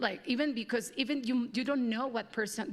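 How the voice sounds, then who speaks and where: A woman talks at a fairly quick pace. She speaks with a slight Mexican accent. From Mexico. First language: Spanish. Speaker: panel moderator. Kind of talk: panel discussion.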